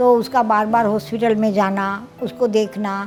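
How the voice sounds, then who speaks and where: A woman's fairly high-pitched voice with fairly even intonation, music in the background. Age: 70s. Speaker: home food entrepreneur. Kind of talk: interview.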